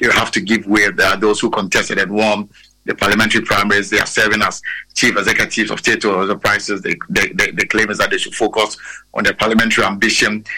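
Very fast speech from a man, fairly low in pitch, bright and sharp in tone, with fairly even intonation. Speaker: political correspondent. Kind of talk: live news report. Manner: halting, repetitive.

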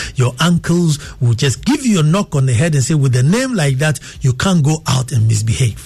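A man speaks in a Ghanaian accent with a fairly high pitch. Noticeable background noise can be heard. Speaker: radio host. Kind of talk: live radio talk show with callers. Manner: formal, measured, thoughtful.

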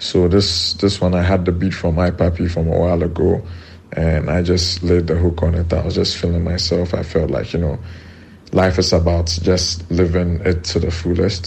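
A man talks at a moderate pace in a very deep, low voice with monotone, flat intonation. Noticeable background noise and audible room echo are present. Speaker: rapper. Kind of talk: recorded interview.

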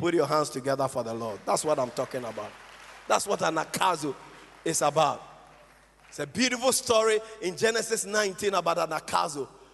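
Over crowd noise, a man with a fairly high pitch talks at a fairly quick pace, his pitch swinging very widely, with long, frequent pauses. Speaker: pastor. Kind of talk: sermon. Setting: church.

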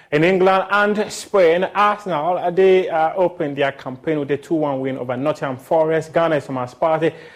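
With a Ghanaian accent, a man talks at a moderate pace in a fairly high pitch with ordinary pitch variation. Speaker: sports news presenter. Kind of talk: sports news reading. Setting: studio.

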